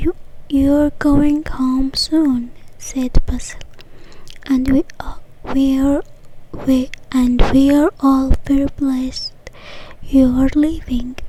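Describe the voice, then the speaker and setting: Soft-spoken and very slow, the voice leaves long, frequent pauses over noticeable background noise. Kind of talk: read story; ASMR.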